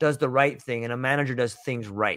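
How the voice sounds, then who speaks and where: A man's fairly high-pitched voice with an animated tone. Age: 40s. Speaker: podcast host. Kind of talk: casual interview chat. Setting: video call.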